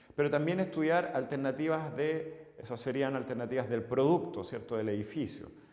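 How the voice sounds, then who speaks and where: A man with a Chilean accent at a fairly high pitch and moderate pace, with ordinary pitch variation. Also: hardly any pauses. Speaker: civil engineer and course instructor. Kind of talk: lecture. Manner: halting, frequent filler 'eh'.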